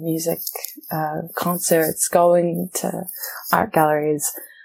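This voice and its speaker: A woman with a New Zealand accent talks very slowly in a fairly low, dark and mellow voice, recorded dry and close with no echo. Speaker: theatre director and actor. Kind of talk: interview conversation.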